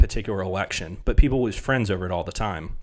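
In a very clean recording with a silent background, a man speaks with a Southern US accent. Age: 30s. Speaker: podcast host. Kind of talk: solo monologue, podcast intro. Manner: conversational, earnest.

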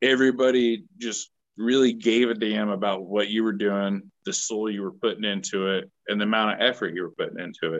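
At a moderate pace, a man with an American accent uses a normal speaking voice with medium pitch and ordinary pitch variation. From Kansas (Manhattan). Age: 30s. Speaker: country singer-songwriter. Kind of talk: casual chat. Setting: video call from outdoors.

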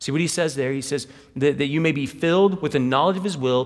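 With an American accent, a man speaks in a plain, everyday voice, fairly high in pitch with lively intonation. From Wichita, Kansas. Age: 40s. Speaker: pastor. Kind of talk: sermon. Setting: church.

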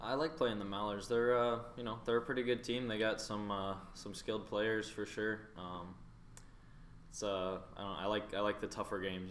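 A man with an American accent, fairly even intonation and a moderate pace, in a room with audible echo. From North Carolina, US South. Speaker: junior hockey goaltender. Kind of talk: casual interview.

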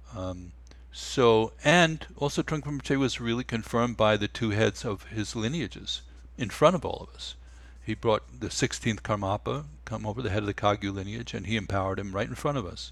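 A man with an American accent and a fairly low pitch speaks at a fairly quick pace with lively intonation and vocal fry. The recording is very clean, with a silent background. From New York. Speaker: meditation teacher and musician. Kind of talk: casual interview.

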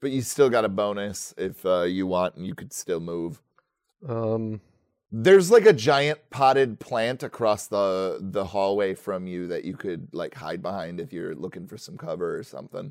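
A man's normal speaking voice, fairly low in pitch, with lively intonation, big swings in loudness and a moderate pace, in a very clean recording with a silent background. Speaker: game master running a tabletop roleplaying game. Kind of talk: casual tabletop roleplaying game session with narration and banter.

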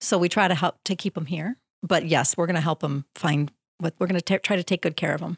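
Speaking very fast with an Upper Midwest accent, a woman has a fairly low, somewhat breathy voice and fairly even intonation. The recording is very clean, with a silent background. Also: dry, close sound with no echo. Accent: Upper Midwest American. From southeastern Wisconsin. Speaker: tourism bureau staff. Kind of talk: radio interview. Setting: radio studio.

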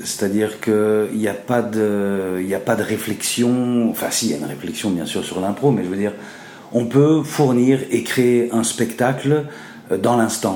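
Noticeable background noise and audible room echo around a man with ordinary pitch variation. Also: medium pitch for a man, fairly slow pace. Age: 40s. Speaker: improv actor. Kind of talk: interview. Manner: hesitant, many fillers.

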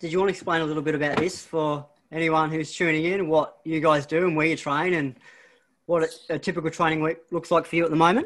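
In an Australian accent, a man talks at a very fast pace with a fairly high pitch and monotone, flat intonation against a quiet background. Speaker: running coach and podcast host. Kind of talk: casual interview; scripted intro.

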